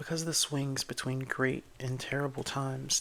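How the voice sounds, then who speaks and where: Soft-spoken voice with fairly even intonation at a moderate pace. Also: man. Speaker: ASMR creator. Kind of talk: ASMR bedtime book reading.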